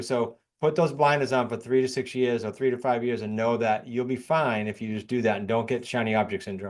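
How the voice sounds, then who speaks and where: A man at medium pitch with a New England accent and fairly even intonation, against a quiet background. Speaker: real estate investor and coach. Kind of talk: podcast interview.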